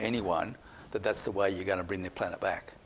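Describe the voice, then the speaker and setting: In an Australian accent, a man talks at a very fast pace with a fairly low pitch and ordinary pitch variation. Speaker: climate scientist. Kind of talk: public talk Q&A.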